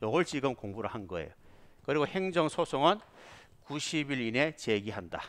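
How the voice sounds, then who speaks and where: A man with a fairly high voice swings his pitch very widely in a very clean recording with a silent background. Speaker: police exam lecturer. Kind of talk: lecture. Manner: not fast, measured pace.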